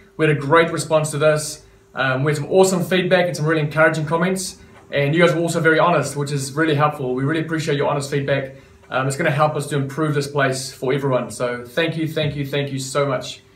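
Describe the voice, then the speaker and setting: A man talks at a very fast pace in a monotone, flat intonation. Audible room echo surrounds his voice. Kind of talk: business update to members. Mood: warm, grateful. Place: office. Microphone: camera far.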